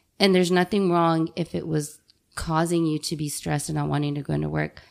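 Here a woman in a normal speaking voice, fairly low in pitch, talks at a moderate pace on a very clean recording with a silent background. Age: 30s. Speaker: nurse. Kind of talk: casual chat.

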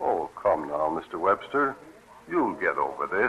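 In a put-on character voice, a man uses a low pitch with big pitch swings, a bright, sharp tone and a slightly husky edge. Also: fairly slow pace.

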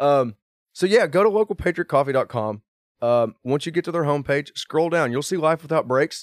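A man's fairly high, quick voice with lively intonation in a Southern US accent, the sound dry and close with no echo. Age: 30s. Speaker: drift car driver. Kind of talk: casual chat.

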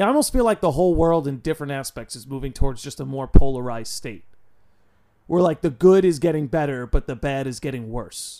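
A man with an American accent speaks at a very fast pace in a fairly high pitch with a dark, mellow tone and ordinary pitch variation. His loudness swings widely, and the recording is very clean with a silent background. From New York. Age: 20s. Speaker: podcast host. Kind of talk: casual chat.

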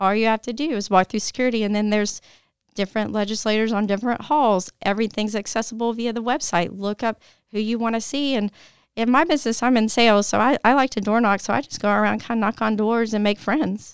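Talking at a very fast pace in a Tennessee accent, a woman keeps a fairly high pitch and fairly even intonation on a very clean recording with a silent background and a dry, close sound with no echo. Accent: US Southern (Tennessee). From Tennessee, Nashville. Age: 40s. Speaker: parent activist for gun safety. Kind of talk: interview conversation.

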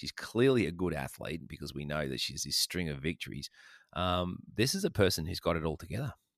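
With an Australian accent, a man speaks fairly quickly in a very deep, low voice with vocal fry and lively intonation, the sound dry and close with no echo, the recording very clean over a silent background. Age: old. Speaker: podcast host. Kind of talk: casual chat.

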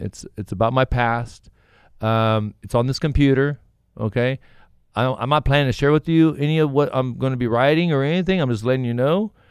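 On a very clean recording with a silent background, a man speaks fairly quickly in an unremarkable speaking voice, medium in pitch with ordinary pitch variation. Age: 40s. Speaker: author in recovery. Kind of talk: casual chat.

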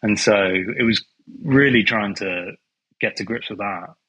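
A man with a British accent and a fairly low pitch speaks in a bright, sharp tone at a moderate pace with ordinary pitch variation. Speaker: film composer. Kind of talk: casual interview chat. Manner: easygoing.

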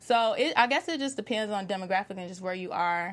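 A woman talks at a fairly quick pace in a normal speaking voice. Her pitch is medium, with ordinary pitch variation. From Chicago, US. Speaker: TV recap panelist. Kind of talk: casual panel discussion.

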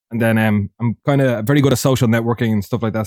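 In an Irish accent, a medium-pitched man speaks at a very fast pace with fairly even intonation, in a dry, close sound with no echo. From Ireland. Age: 20s. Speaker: competitive FIFA player. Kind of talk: casual chat.

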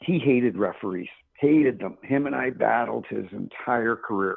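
A man speaks at a moderate pace. He has a normal speaking voice. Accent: Canadian. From small-town Canada. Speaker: retired hockey referee. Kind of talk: interview.

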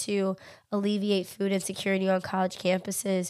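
A woman at medium pitch and moderate pace, her intonation flat and monotone, in a very clean recording with a silent background. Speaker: podcast host. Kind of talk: solo monologue.

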